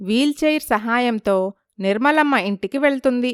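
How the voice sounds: Recorded very cleanly against a silent background, a woman speaks at a fairly high pitch in a clear, smooth tone. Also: dry, close sound with no echo.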